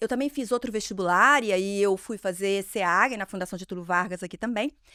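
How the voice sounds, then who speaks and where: A woman speaks in a Minas Gerais accent at a moderate pace, her tone bright and sharp. The sound is dry and close, with no echo. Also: very clean recording, silent background. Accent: mineiro. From Minas Gerais, Brazil (Ipatinga). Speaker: marketing executive. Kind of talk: interview podcast.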